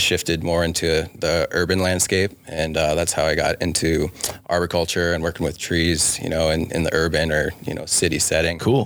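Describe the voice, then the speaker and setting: Through noticeable background noise, a man with a very deep, low pitch speaks at a fairly quick pace in a monotone, flat intonation with hardly any pauses. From Wyoming, Sheridan area. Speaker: city arborist. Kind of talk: casual interview. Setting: studio.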